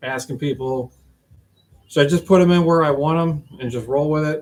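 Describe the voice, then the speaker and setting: A man mumbles at a fairly high pitch. His pitch variation is ordinary. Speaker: Jeep hobbyist streamer. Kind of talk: casual live stream monologue. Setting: garage shop. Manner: mumbling.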